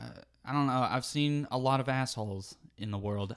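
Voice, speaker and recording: A man's medium-pitched voice, a normal speaking voice, at a fairly quick pace. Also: very clean recording, silent background. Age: 20s. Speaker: musician. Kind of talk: casual chat.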